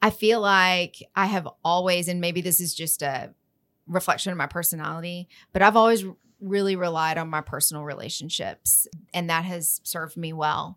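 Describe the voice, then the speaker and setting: An ordinary speaking voice in an American accent, at a moderate pace with fairly even intonation, on a very clean recording with a silent background. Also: woman, fairly low pitch for a woman. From West Texas, Lubbock. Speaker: trade association president. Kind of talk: interview. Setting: studio.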